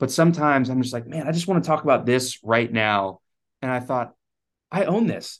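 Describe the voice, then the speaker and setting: With lively intonation and a medium pitch, a man speaks in a normal speaking voice at a fairly quick pace against a quiet background. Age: young. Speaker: chiropractor. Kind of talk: podcast interview.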